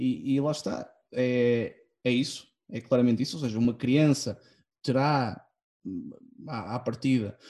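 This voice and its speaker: A man speaks at medium pitch and a moderate pace, his tone dark and mellow and his pitch varying in an ordinary way. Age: 20s. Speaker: podcast guest. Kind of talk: casual chat. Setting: online recording.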